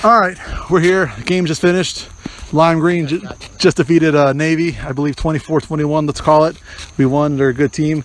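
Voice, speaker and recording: A man talks at a fairly quick pace, his pitch fairly high. His pitch variation is ordinary, and noticeable background noise is present. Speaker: podcast host and amateur softball player. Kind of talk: casual sports podcast chat. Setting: outdoors at ball field. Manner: halting, stuttering.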